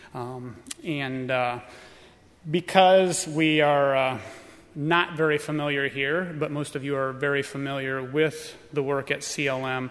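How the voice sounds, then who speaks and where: In an American accent, this speaker uses an ordinary speaking voice with fairly even intonation at a fairly slow pace. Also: man. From Illinois, US. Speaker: missionary preparing to move to Brazil. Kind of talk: testimony. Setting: church camp audience.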